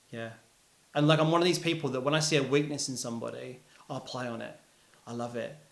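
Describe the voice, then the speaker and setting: Speaking very fast with a London accent, a man with a fairly high voice leaves long, frequent pauses, his loudness swinging widely amid audible room echo. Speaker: musician. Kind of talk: casual interview chat. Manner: animated.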